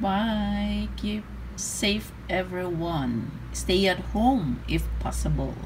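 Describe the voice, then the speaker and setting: A woman speaks at a very slow pace while noticeable background noise continues around her. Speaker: vlogger. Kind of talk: casual vlog chat. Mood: cheerful, laughing. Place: home room. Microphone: phone near.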